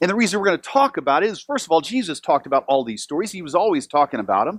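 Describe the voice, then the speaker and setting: The man's voice is high-pitched and animated, with very wide pitch swings. The sound is dry and close, with no echo. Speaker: pastor. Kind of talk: sermon. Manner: fast.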